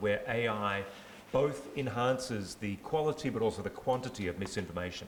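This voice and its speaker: With lively intonation, a man speaks through audible room echo and noticeable background noise. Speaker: AI governance expert, panelist. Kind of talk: panel discussion. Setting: stage with audience, handheld mic. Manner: loud.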